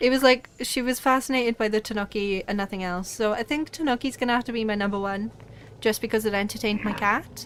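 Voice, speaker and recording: Speaking with a Welsh accent, a woman uses a fairly high pitch, ordinary pitch variation and a moderate pace. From Wales. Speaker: gaming streamer. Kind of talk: live game stream chat. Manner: animated.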